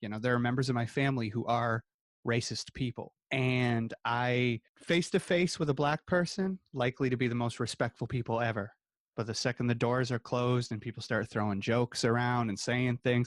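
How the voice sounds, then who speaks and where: Recorded very cleanly against a silent background, with a dry, close sound and no echo, a man of medium pitch speaks in an ordinary speaking voice. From small-town Canada. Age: 30s. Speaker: podcast co-host. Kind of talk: casual chat.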